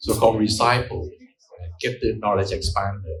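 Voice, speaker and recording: This man's voice is somewhat breathy and fairly low in pitch. He speaks at a fairly slow pace. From Thailand. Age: 70s. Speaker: economist. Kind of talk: congratulatory speech.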